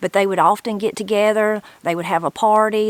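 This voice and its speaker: A woman talks at a fairly quick pace with a southern Appalachian accent. Her pitch sits in the medium range. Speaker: channel host and interviewer. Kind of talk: video introduction and interview.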